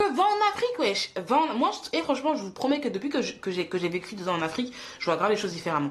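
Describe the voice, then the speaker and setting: A woman talks at a very fast pace with a high pitch. Noticeable background noise runs behind her. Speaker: YouTuber and mother. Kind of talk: casual vlog monologue. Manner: animated.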